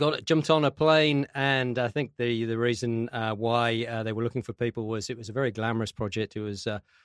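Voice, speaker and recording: A man with an English accent speaks at a medium pitch and a moderate pace, with ordinary pitch variation and a dry, close sound with no echo. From UK. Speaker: construction industry association executive. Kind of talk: interview. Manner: halting, many fillers.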